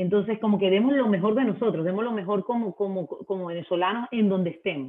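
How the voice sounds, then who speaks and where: A woman speaking at a very fast pace with hardly any pauses and ordinary pitch variation. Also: medium pitch for a woman. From Venezuela. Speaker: marketing manager. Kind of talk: interview.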